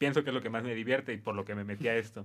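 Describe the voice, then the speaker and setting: This man's voice sits at a medium pitch. Its rise and fall is ordinary. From Guerrero, Mexico. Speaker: university student. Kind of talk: casual chat. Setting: studio.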